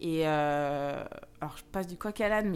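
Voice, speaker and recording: This woman has a plain, everyday voice. She moves at a moderate pace with lively intonation. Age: 30s. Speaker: social worker and model. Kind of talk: casual chat.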